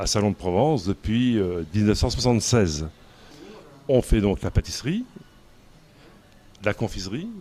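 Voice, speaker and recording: Using lively intonation, a man with a fairly low pitch talks at a fairly slow pace, leaving long, frequent pauses. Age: 60s. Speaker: pastry chef and business owner. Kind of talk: interview. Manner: hesitant, frequent fillers and repeats.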